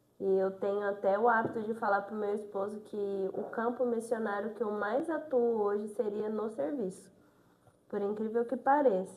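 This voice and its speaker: A woman speaks at a moderate pace with a fairly high pitch and fairly even intonation. Noticeable background noise runs behind her. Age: 20s. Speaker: nursing technician, deaconess. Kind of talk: interview testimony. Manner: reserved, few words.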